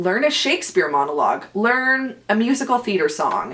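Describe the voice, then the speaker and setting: A woman speaks over noticeable background noise. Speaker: actor and podcast host. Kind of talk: casual chat. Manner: loud.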